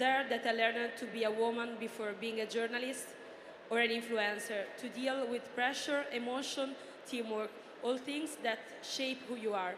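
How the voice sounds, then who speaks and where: A woman speaks with an Italian accent in a monotone, flat intonation. Audible room echo and noticeable background noise surround her voice. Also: fairly high pitch for a woman, moderate pace. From Italy. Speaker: journalist and influencer, former footballer. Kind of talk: reading prepared answers on a panel. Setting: stage with audience.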